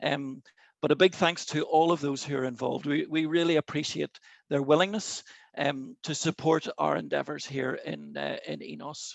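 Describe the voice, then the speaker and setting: A moderate pace, with an Irish accent. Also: man. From Ireland. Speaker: chairman of an outdoor sports network, webinar host. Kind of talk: webinar opening address. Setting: video call.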